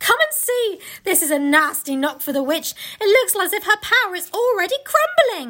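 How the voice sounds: A put-on character voice, bright and sharp in tone, at a moderate pace with big pitch swings. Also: woman, extremely high pitch for a woman.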